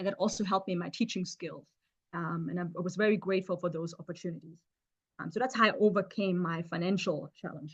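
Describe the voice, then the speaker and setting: Somewhat breathy, a woman with a fairly low pitch speaks at a very fast pace with ordinary pitch variation. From Germany, Stuttgart. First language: German. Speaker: chemist. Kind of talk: seminar talk. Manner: halting, many fillers.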